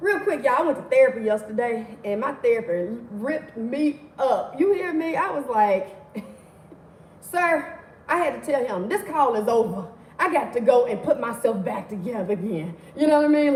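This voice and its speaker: Against noticeable background noise and audible room echo, a woman speaks at a moderate pace in an animated tone. Her high pitch makes very wide swings. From Mississippi, US South. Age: 40s. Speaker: livestream host, motivational speaker. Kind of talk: casual livestream teaching. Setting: livestream.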